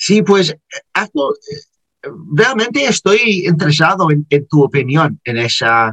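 With an English accent, a man speaks at a very slow pace in a high, bright, sharp voice. His pitch swings very widely, and the sound is dry and close with no echo. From Liverpool, England. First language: English (speaking Spanish). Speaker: podcast host. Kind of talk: interview. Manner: halting, many fillers.

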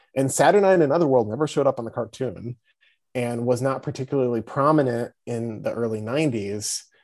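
Against a quiet background, a man talks at a fairly quick pace in an ordinary speaking voice. His pitch sits in the medium range, with ordinary pitch variation. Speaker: comic book writer and editor. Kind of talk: casual chat.

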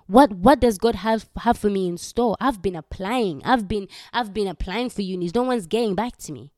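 A woman in a Ugandan accent, medium-pitched and animated, at a fairly quick pace with ordinary pitch variation, dry and close with no echo on a very clean recording with a silent background. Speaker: faith podcaster. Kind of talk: personal testimony with prayer. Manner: casual, filler-heavy.

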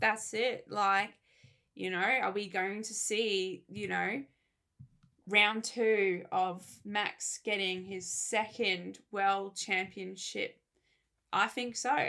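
In an Australian accent, a woman speaks very slowly at a medium pitch with a bright, sharp tone and fairly even intonation, on a very clean recording with a silent background. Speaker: podcast co-host. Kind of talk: casual chat.

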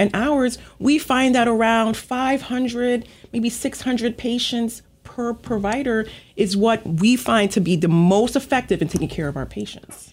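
A woman with a plain, everyday voice, fairly high pitch and ordinary pitch variation, at a moderate pace, in a very clean recording with a silent background. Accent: American. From Long Island, New York. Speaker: physician, regional medical director. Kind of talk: radio interview.

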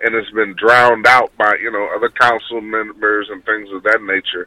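A man with an American accent and an unremarkable speaking voice, fairly low, at a moderate pace. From Houston, Texas. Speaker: city council candidate. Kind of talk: radio interview, campaign talk. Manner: earnest, polite, with frequent um's.

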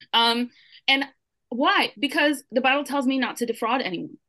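Projecting in a raised voice, this woman speaks at a high pitch. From Brooklyn, New York; Puerto Rican family. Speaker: social media writer, mother. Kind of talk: panel discussion. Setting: video call.

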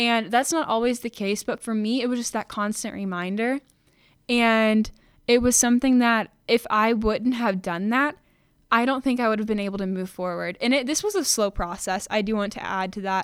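An unremarkable speaking voice from a woman, fairly high in pitch, with ordinary pitch variation at a moderate pace. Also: very clean recording, silent background. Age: 20s. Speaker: podcast host. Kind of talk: personal testimony monologue. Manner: casual, filler-heavy.

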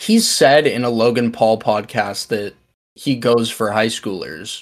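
Here a man of medium pitch uses an unremarkable speaking voice at a fairly slow pace. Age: young. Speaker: podcast co-host. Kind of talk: casual chat.

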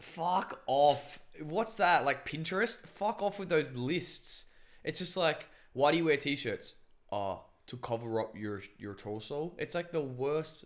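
Loud and fairly high-pitched, a man talks at a fairly slow pace. His pitch swings very widely. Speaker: podcast host. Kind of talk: casual chat. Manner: loud, intense talker.

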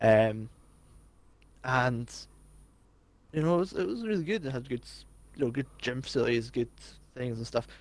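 With a Scottish accent, a man at medium pitch speaks with ordinary pitch variation, big swings in loudness and long, frequent pauses. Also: moderate pace. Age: 20s. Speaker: podcast co-host. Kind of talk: casual chat.

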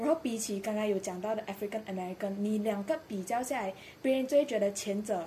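Here a woman uses a normal speaking voice at a fairly high pitch. She speaks fairly quickly. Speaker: podcast panel regular. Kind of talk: casual panel discussion.

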